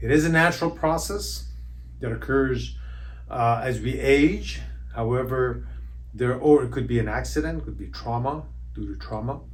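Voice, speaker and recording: A man at a moderate pace, with long, frequent pauses and audible room echo. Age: 60s. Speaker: chiropractor. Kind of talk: educational explainer. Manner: halting, many fillers.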